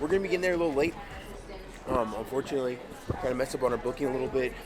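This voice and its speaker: Pitch variation is ordinary. There is noticeable background noise and audible room echo. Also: man. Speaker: vlogger and motivational speaker. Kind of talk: casual vlog talk to camera. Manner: fast.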